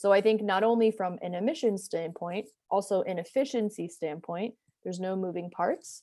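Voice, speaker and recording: A woman speaks with an American accent and a dark, mellow tone. Her pitch varies in an ordinary way. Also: medium pitch for a woman, moderate pace. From US Northeast (New Jersey). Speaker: entrepreneur and product designer. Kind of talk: interview. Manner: casual, filler-heavy.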